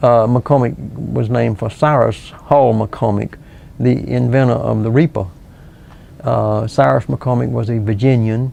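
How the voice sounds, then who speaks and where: Amid noticeable background noise, a man with a Southern US accent speaks at a fairly slow pace. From US South, South Carolina. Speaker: local historian and author. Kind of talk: interview. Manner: halting.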